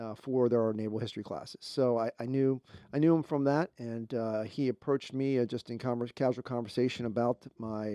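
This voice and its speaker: A man with an American accent at a moderate pace, medium in pitch and fairly even in intonation, with a dark, mellow tone and a dry, close sound with no echo. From Baltimore, Maryland. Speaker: naval officer and history professor. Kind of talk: interview. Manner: halting, many filler words.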